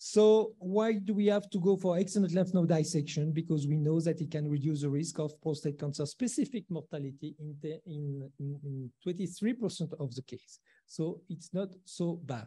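A man's voice, dark and mellow in tone, comes through over a quiet background. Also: ordinary pitch variation, moderate pace. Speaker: presenter. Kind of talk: lecture. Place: hall.

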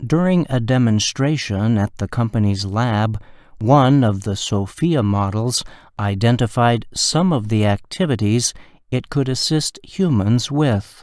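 In a very clean recording with a silent background, a man with a plain, everyday voice talks at a fairly slow pace, medium in pitch with ordinary pitch variation. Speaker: news reader. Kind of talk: news report read for language learners.

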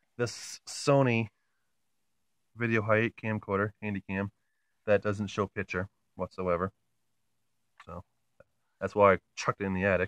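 A man's fairly low, monotone, flat voice with long, frequent pauses, dry with no echo against a quiet background. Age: 20s. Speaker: YouTuber. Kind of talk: casual vlog, show-and-tell. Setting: at home, in and below the attic. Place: home room. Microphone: phone near.

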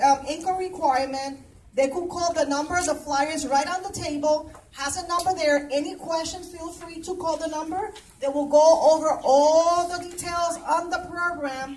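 A woman at an extremely high pitch, fairly slow and with fairly even intonation, over light background noise. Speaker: presenter. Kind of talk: public announcement at a meeting. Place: hall. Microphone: camera far.

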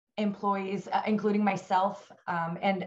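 A woman's somewhat breathy, monotone delivery, flat in intonation and fairly slow, over a quiet background. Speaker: remote guest. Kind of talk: interview answer. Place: office. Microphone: video call.

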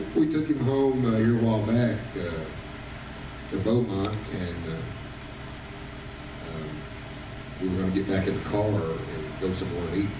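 Fairly low-pitched male speech at a moderate pace with long, frequent pauses, noticeable background noise and audible room echo. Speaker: visiting preacher. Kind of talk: sermon. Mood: warm, joking family anecdote. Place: church.

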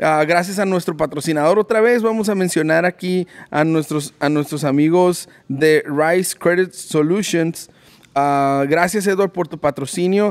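With ordinary pitch variation, a man talks at a fairly slow pace in a high pitch. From Mexicali, Mexico; Mexico. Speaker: podcast host. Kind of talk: casual interview; sponsor read. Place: shop. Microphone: studio mic.

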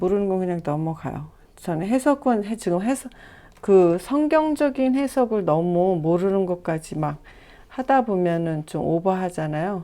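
A woman with a dark, mellow tone speaks at a fairly slow pace, her pitch swinging very widely. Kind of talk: tutorial. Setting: home recording. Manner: soft-spoken.

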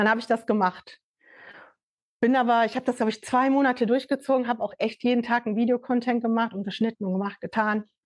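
Over a quiet background, a woman talks at a fairly quick pace in a fairly high voice, with a dry sound and no echo. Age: 50s. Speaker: fashion label founder and NFT project creator; NFT project creator. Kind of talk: casual interview. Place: empty room.

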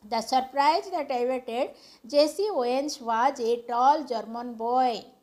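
Her intonation is lively. The woman speaks with a high pitch. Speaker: teacher. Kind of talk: tutorial.

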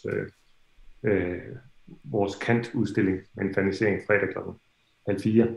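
Fairly slow, somewhat breathy delivery with a Danish accent, fairly even intonation, long and frequent pauses, and audible room echo. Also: man, fairly low pitch for a man. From Denmark. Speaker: festival organizer. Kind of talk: welcome address. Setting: video call. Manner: halting. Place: home room. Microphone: video call.

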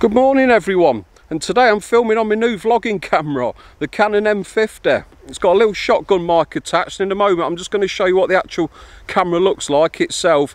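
A man talks at a very fast pace in a high pitch. His intonation is lively, and the sound is dry with no echo. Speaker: vlogger. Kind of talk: casual vlog chat.

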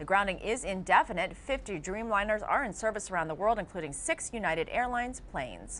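Talking at a fairly quick pace with hardly any pauses, the woman's pitch swings very widely. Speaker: news anchor. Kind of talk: news reading. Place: studio. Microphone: lapel.

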